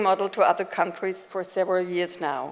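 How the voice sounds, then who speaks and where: A woman speaks at a medium pitch with a German accent. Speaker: education institute director. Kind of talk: conference keynote speech. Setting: conference stage with audience.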